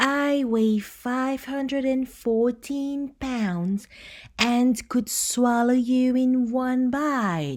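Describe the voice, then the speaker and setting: Someone uses a put-on character voice at a very slow pace. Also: woman, high pitch for a woman, ordinary pitch variation. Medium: read story.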